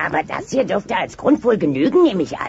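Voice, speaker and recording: A raspy, put-on character voice, fairly high in pitch, with very wide pitch swings at a very fast pace. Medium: fan dub. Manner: dry, sardonic.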